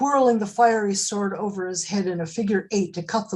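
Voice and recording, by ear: Just reading aloud in a natural voice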